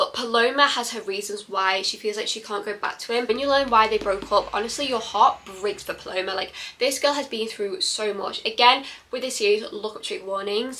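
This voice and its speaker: With a British accent, a woman speaks at a fairly quick pace in a fairly high, animated voice with lively intonation. Noticeable background noise can be heard. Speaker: book reviewer vlogger. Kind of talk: casual book review monologue. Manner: fast.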